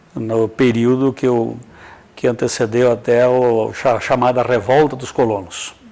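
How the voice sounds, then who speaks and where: Intonation is monotone and flat throughout. Delivery comes at a fairly slow pace. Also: man, medium pitch for a man. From southwestern Paraná, Brazil (Capanema). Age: 60s. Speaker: radio and TV broadcaster. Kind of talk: interview.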